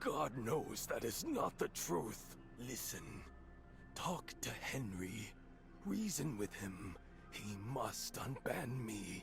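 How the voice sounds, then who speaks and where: Over loud music in the background, a man puts on a character voice at a medium pitch, speaking at a very slow pace with long, frequent pauses. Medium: video game. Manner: solemn, pious.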